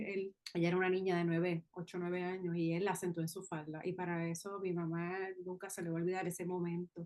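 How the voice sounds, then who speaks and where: A woman speaks at a moderate pace. She has a normal speaking voice at medium pitch. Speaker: podcast host. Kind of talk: interview.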